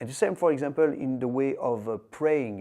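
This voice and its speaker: A man with a French accent and a dark, mellow tone talks at a fairly quick pace with ordinary pitch variation. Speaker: martial arts teacher. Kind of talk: lecture. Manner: halting.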